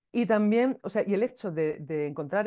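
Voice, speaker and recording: A woman with a dark, mellow tone and a medium pitch speaks at a fairly quick pace with lively intonation against a quiet background. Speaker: podcast creator and music teacher. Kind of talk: interview. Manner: hesitant, with many fillers.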